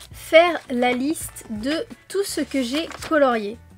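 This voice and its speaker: With music in the background, a woman speaks in a high voice with lively intonation. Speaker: coloring YouTuber. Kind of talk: casual monthly review vlog. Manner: hesitant, many fillers.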